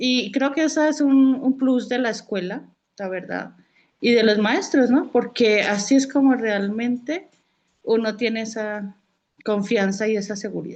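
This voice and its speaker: Over a quiet background, a woman with a Colombian accent talks at a fairly slow pace in a fairly high pitch with ordinary pitch variation. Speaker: student. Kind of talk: casual chat. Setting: video call.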